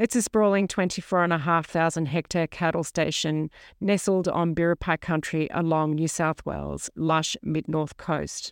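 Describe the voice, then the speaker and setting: Recorded very cleanly against a silent background, with a dry, close sound and no echo, a woman with an Australian accent speaks at a moderate pace in a fairly low pitch, using ordinary pitch variation. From Sydney, Australia. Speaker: podcast host, former model and wool grower. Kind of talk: solo podcast narration. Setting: farm station.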